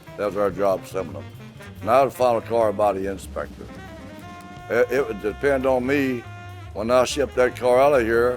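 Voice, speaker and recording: Music plays behind a man with a medium pitch. His intonation is lively. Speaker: retired auto assembly plant worker. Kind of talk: interview answer.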